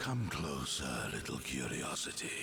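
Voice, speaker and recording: Over loud background noise, a man puts on a character voice at a moderate pace. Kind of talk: mythic fantasy oration. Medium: game stream. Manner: slow, solemn, prophetic.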